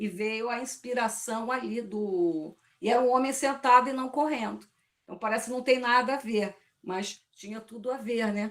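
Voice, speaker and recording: Fairly high in pitch with ordinary pitch variation, a woman speaks in a plain, everyday voice. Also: moderate pace, big swings in loudness. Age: 60s. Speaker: poetry study group participant. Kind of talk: group discussion.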